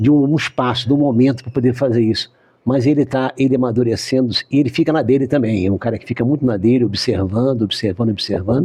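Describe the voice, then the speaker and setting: A man speaks very fast at a medium pitch, with hardly any pauses and ordinary pitch variation. His tone is dark and mellow, and somewhat breathy. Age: 70s. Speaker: city councillor and doctor. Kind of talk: interview.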